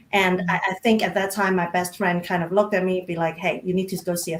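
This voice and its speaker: A woman speaks at a medium pitch with a non-native accent. Her intonation is monotone and flat. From Micronesia, South Pacific Islands. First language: not English. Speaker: diversity and inclusion practitioner. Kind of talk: panel conversation. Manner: halting.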